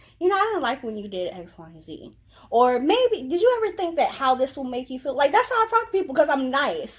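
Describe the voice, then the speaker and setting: Very wide pitch swings over a very clean recording with a silent background. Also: woman. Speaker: YouTuber. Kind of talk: casual chat.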